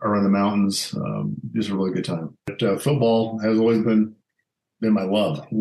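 With an American accent, a man speaks in a plain, everyday voice, fairly low in pitch with ordinary pitch variation. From Colorado, Alamosa. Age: 50s. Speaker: former football coach and HR executive. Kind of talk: interview.

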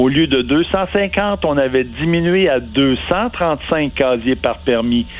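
A man's lively, bouncing intonation comes through noticeable background noise. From Quebec, Centre-du-Québec (Victoriaville). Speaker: marine biologist. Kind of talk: interview.

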